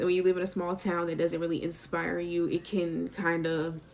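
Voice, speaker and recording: There is noticeable background noise behind a woman with an American accent. She talks at a fairly quick pace. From US South, Sumter, South Carolina. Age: 20s. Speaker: YouTuber. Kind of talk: casual chat. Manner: chatty, talkative.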